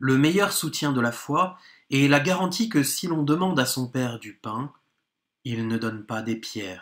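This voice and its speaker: It is an ordinary speaking voice with lively intonation at a fairly slow pace. The recording is very clean, with a silent background. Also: man, fairly high pitch for a man. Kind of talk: audiobook reading of a philosophical text. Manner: formal, measured, steady; calm, contemplative, even-paced delivery.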